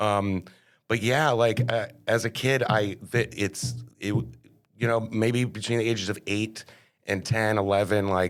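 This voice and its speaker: The speech comes at a fairly slow pace with fairly even intonation and a Connecticut accent. Loudness is very even, in a very clean recording with a silent background. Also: man, fairly low pitch for a man. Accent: Northeastern US (Connecticut). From Connecticut, New Haven. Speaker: board game café owner. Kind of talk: casual interview chat.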